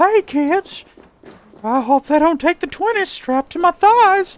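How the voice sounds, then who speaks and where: An extremely high-pitched, put-on character voice moves at a moderate pace. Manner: creepy.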